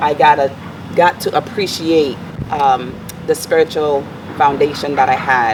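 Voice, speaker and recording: In a Virgin Islands accent, a woman speaks at a fairly slow pace with a very deep, low pitch and fairly even intonation, leaving long, frequent pauses over noticeable background noise. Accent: Virgin Islands Caribbean. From US Virgin Islands (Saint Thomas). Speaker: life coach and motivational speaker. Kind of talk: interview.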